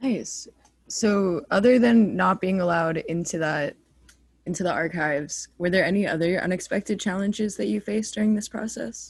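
A woman keeps a moderate pace, her voice somewhat breathy. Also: medium pitch for a woman, ordinary pitch variation. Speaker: student podcast host. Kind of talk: interview.

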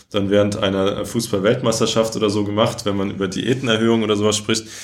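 Amid audible room echo, a man with a fairly low pitch speaks very fast. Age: 20s. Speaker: politician. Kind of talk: interview.

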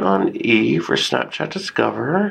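The speaker talks in an American accent. Noticeable background noise is present. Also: man. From Texas, San Antonio. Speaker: comedian and fashion show host. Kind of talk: casual chat. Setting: getting a massage during recording.

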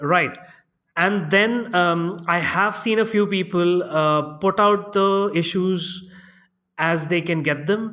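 A man speaks in a raised, projected voice with a high pitch and a bright, sharp tone. His pace is very slow, his intonation fairly even, and his loudness very even. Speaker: comics letterer, co-host. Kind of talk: casual chat.

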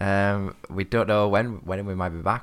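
Using an ordinary speaking voice, this man keeps a moderate pace at a fairly low pitch. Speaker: podcast co-host. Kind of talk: casual chat. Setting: recording at home.

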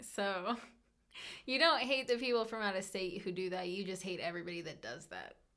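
Loud and at a fairly quick pace, a woman speaks with an American accent. Her pitch is medium with ordinary variation, and her tone is bright and sharp. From Colorado. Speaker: bank teller, host's fiancee. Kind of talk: casual chat.

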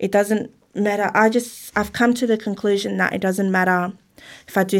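The speaker has an Australian accent and a moderate pace. The recording is very clean, with a silent background. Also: woman. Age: 30s. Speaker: parent of a child with Down syndrome. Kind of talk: interview.

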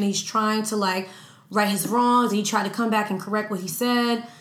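A woman speaks at a fairly quick pace in an animated tone with ordinary pitch variation, over noticeable background noise and audible room echo. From New York. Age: 20s. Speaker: social media influencer and podcast host. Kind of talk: casual chat.

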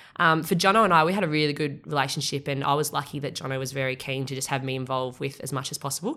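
A woman speaks at a very fast pace with hardly any pauses, her very deep, low pitch carrying a bright, sharp tone, ordinary pitch variation and an Australian accent. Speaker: triathlon coach. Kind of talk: casual interview.

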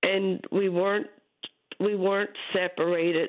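A woman speaks at a fairly slow pace. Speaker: caller. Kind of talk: call-in radio story. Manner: halting.

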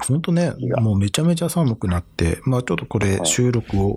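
Lively in intonation, a man talks at a moderate pace in a plain, everyday voice. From Japan, Saitama. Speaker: fashion podcast host. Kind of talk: casual chat.

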